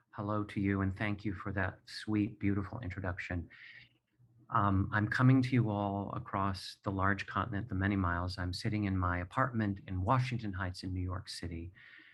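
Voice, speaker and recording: Against a quiet background, a man with a fairly low pitch talks in a somewhat breathy voice with fairly even intonation. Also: moderate pace. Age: 60s. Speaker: playwright and performer, abuse survivor. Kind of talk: personal testimony. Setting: video call from home.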